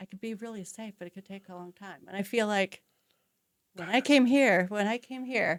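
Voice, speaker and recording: A woman talks at a moderate pace in a plain, everyday voice, with medium pitch and ordinary pitch variation. Her loudness swings widely, and the sound is dry and close with no echo. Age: 60s. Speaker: real estate agent. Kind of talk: interview.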